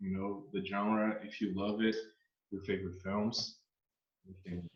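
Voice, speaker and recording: A man with a Brazilian Portuguese accent speaks at a moderate pace with ordinary pitch variation. Audible room echo surrounds his voice. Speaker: horror channel host. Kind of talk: interview. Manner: halting, non-native English.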